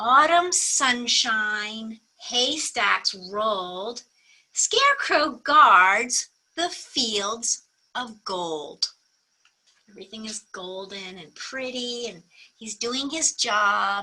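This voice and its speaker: This woman talks very slowly. Her voice sits fairly high. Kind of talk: bedtime story. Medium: read story. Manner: warm, sing-song.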